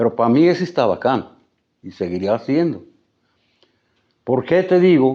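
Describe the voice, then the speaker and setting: A man at medium pitch with a dark, mellow tone speaks at a fairly slow pace, his pitch swinging very widely between long, frequent pauses. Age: 70s. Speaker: writer and musician, local storyteller. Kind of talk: interview, storytelling. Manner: repetitive, self-correcting.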